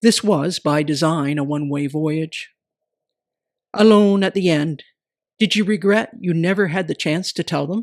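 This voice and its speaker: In a very clean recording with a silent background and a dry, close sound with no echo, a woman speaks at a fairly slow pace and a fairly low pitch, with ordinary pitch variation. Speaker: poet. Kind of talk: poetry reading.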